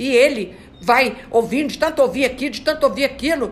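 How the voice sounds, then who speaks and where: A woman speaks at a moderate pace with lively intonation and an animated tone. Noticeable background noise runs under her voice. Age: 70s. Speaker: spiritist study leader. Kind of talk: religious study talk.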